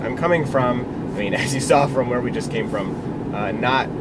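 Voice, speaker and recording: Loud background noise sits behind a man talking at a moderate pace. His pitch varies in an ordinary way. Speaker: vlogger. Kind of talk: casual vlog chat. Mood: relaxed, upbeat. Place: car.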